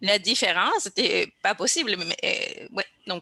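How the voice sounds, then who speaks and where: A woman talks very slowly. She has a Spanish accent. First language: Spanish (speaking French). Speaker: podcast host. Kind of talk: casual chat. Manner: hesitant, repetitive.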